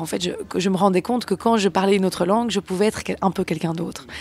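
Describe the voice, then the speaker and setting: Speaking with a Belgian accent at a medium pitch, a woman varies her pitch in an ordinary way, her sound dry and close with no echo but with noticeable background noise. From Belgium. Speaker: singer-songwriter and actress. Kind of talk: interview. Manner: hesitant, many fillers.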